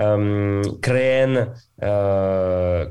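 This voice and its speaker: Speaking with a French accent, a man has a fairly low pitch, a dark, mellow tone and ordinary pitch variation. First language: French (speaking Spanish). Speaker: music streaming executive. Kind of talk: interview. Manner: halting.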